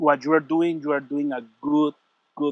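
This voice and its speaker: Dry, close sound with no echo, a man's fairly high pitch, and a Puerto Rican accent. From Puerto Rico. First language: Spanish. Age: 40s. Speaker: martial arts instructor. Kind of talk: interview. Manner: halting.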